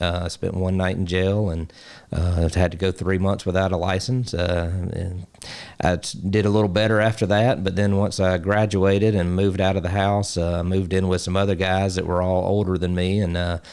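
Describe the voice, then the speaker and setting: A man speaks at a moderate pace with an Alabama accent, his pitch very deep and low and his intonation flat and monotone. The recording is very clean, with a silent background. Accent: Southern US (Alabama). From US South, Alabama. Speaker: basketball coach and ministry founder. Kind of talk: interview testimony. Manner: halting, many fillers.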